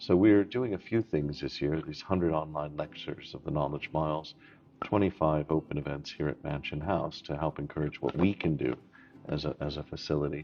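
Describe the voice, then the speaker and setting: Against music in the background, a man with very deep, low pitch and ordinary pitch variation speaks at a fairly quick pace. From outside the UK, immigrant. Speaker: Lord Mayor, interview guest. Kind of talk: formal interview. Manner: hesitant, many fillers and restarts.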